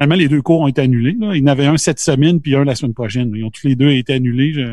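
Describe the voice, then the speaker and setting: A man speaks in a normal speaking voice. His pitch is fairly high, with ordinary variation. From Quebec, Beauce region. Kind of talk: casual chat.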